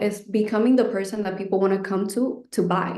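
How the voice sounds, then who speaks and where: Monotone, flat intonation from a woman with a medium pitch, fairly quick in pace, with audible room echo. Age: 20s. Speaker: online business creator, course student. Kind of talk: webinar interview.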